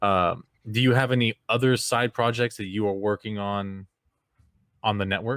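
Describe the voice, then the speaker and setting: With an American accent, a man uses a normal speaking voice at a fairly low pitch and moderate pace, recorded dry and close with no echo, very clean with a silent background. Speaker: podcast host. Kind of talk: interview.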